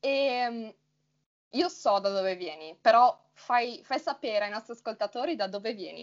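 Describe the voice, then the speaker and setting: A woman speaks at a fairly slow pace. Her pitch is fairly high and her intonation lively. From Friuli Venezia Giulia, Italy. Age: 20s. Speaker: Italian teacher, podcast co-host. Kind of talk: casual conversation.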